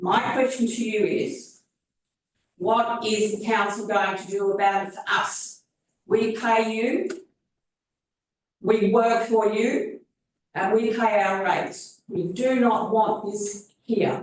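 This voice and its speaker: A woman with an Australian accent at a very slow pace, fairly high in pitch with ordinary pitch variation and long, frequent pauses. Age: 70s. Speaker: resident asking questions at council meeting. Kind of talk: public question time. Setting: council chamber. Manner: animated.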